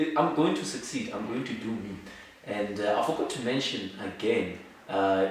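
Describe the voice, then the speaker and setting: There is audible room echo and noticeable background noise. A man speaks with ordinary pitch variation. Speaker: law student and entrepreneur. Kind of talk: interview. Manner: soft-spoken; halting.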